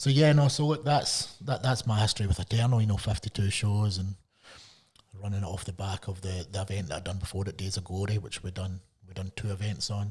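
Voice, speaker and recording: Speaking at a fairly quick pace, a man has a somewhat breathy voice. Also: fairly low pitch for a man, ordinary pitch variation. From Scotland. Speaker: MMA promoter. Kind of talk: podcast interview.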